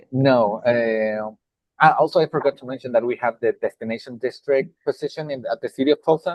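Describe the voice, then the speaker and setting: A man speaks with a strong Mexican accent at a fairly quick pace and medium pitch. His pitch variation is ordinary, but his loudness swings widely. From Mexico (Puebla). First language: Spanish. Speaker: nonprofit executive director. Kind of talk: panel discussion.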